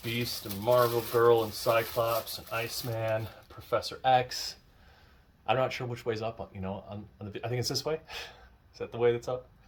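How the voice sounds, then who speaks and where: This man's somewhat breathy voice sits at a medium pitch and moves at a moderate pace, with monotone, flat intonation and big swings in loudness. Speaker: YouTube unboxing creator. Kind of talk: casual unboxing commentary. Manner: whispering at times; hesitant, many fillers.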